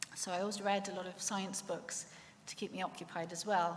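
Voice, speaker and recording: A woman with a Welsh accent speaks at medium pitch amid audible room echo. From Wales, Swansea Valley. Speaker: lecturer sharing faith testimony. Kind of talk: testimony.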